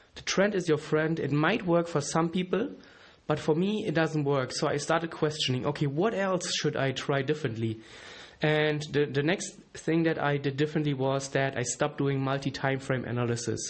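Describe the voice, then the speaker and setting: A man with a German accent, fairly high in pitch, at a moderate pace with ordinary pitch variation. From Germany. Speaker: trading educator, podcast host. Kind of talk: solo podcast monologue. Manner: casual, with fillers and restarts.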